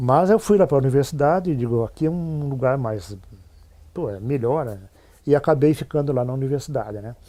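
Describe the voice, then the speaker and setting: A man speaks at a moderate pace in a medium pitch, his tone dark and mellow with ordinary pitch variation. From Rio Grande do Sul, Brazil (São Francisco de Paula). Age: 70s. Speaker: retired teacher and administrator. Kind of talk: interview testimony.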